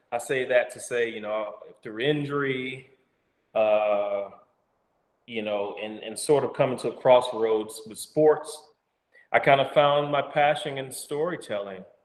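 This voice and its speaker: Someone with an Alabama accent talks at a fairly slow pace with ordinary pitch variation, long, frequent pauses and big swings in loudness. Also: man, fairly high pitch for a man. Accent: Southern US (Alabama). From US South, Alabama. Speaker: actor and storyteller. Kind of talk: casual interview. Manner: halting.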